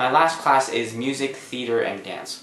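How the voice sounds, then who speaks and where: Audible room echo accompanies a man speaking at a moderate pace. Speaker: vlogger. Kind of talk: casual vlog chat. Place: home room.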